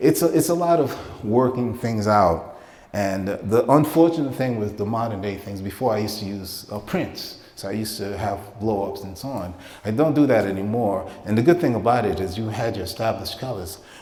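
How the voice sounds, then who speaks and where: A man talks at a fairly quick pace, with audible echo from the room. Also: fairly low pitch for a man, lively intonation, big swings in loudness. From Caribbean, then the Bronx, New York. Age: 50s. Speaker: painter. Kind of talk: artist talk to an audience. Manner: halting, stammering.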